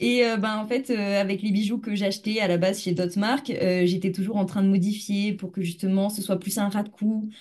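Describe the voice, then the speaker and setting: A woman's somewhat breathy voice keeps fairly even intonation while she talks at a moderate pace. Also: medium pitch for a woman, hardly any pauses. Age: 20s. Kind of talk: interview.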